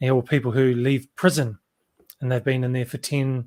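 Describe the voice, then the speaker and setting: With a New Zealand accent, a man talks at a fairly quick pace in a monotone, flat intonation, on a very clean recording with a silent background. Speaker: interviewer. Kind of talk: interview.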